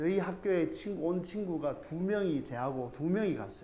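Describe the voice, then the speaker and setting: A man with a high pitch speaks at a fairly slow pace, with audible room echo. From South Korea, Andong (North Gyeongsang). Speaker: math academy teacher. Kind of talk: parent information session talk. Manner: informal, rambling with filler words.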